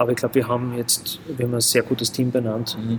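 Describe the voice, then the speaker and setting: Medium-pitched male speech in a monotone, flat intonation. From Graz, Austria. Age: 40s. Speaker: football club vice-chairman. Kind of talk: casual interview. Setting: in a pub room.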